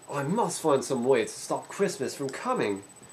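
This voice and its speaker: Putting on a growling character voice, a man speaks at a moderate pace, pitched fairly high with very wide pitch swings. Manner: growling, grumpy.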